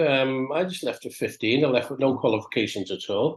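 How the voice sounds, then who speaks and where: A man is speaking. He has a Liverpool accent. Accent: Scouse (Liverpool). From Liverpool, England. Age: 60s. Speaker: DJ and producer. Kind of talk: interview. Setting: podcast.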